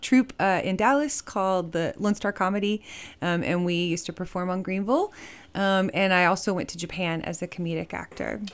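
Recorded very cleanly against a silent background, a woman at a medium pitch talks at a fairly quick pace in a plain, everyday voice. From Texas, Fort Worth. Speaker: musician. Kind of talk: casual chat.

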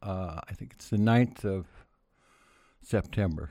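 On a very clean recording with a silent background, a man with a Pacific Northwest accent talks at a fairly slow pace in a dark, mellow tone, with ordinary pitch variation. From Oregon, US Pacific Northwest. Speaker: former county commissioner and politician. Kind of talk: interview.

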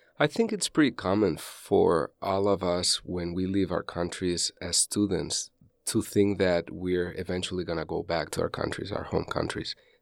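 A man with a Spanish accent talks at a moderate pace, hardly pausing. His very deep, low pitch shows ordinary variation in a dry, close sound with no echo. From Spain. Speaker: college professor. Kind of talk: interview, personal story.

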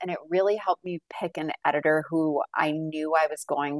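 A woman with an American accent has an unremarkable speaking voice, fairly low in pitch. She keeps a moderate pace, and the sound is dry and close with no echo. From Massachusetts, north of Boston. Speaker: book editor and novelist. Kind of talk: interview.

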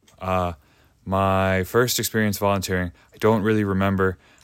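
Very deep, low male voice with an American accent, on a very clean recording against a silent background. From Chicago, US. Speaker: public defender's office volunteer. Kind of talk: casual interview. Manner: halting.

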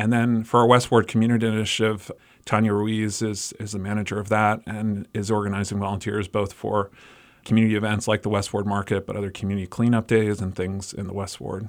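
At a fairly quick pace, a man delivers his lines in a flat monotone. His pitch is fairly low. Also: very clean recording, silent background. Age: 40s. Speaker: nonprofit executive director. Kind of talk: radio interview. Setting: studio.

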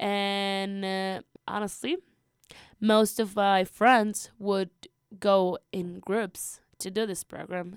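A woman with a Spanish accent speaks very slowly at medium pitch in a monotone, flat way, on a very clean recording with a silent background and a dry, close sound with no echo. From Peru. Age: 20s. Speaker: college student. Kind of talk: radio interview. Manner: hesitant, many fillers.

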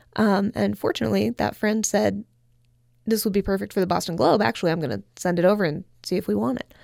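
On a very clean recording with a silent background, a woman speaks at a fairly quick pace with vocal fry. The sound is dry and close, with no echo. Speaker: author and social critic. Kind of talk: radio interview. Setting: radio studio.

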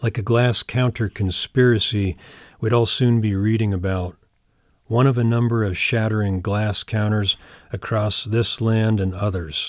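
In a very clean recording with a silent background and a dry, close sound with no echo, a man with an American accent speaks fairly slowly. He has an ordinary speaking voice, fairly low pitch and fairly even intonation. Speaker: poet. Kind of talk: poetry reading, deadpan literary delivery of a surreal poem.

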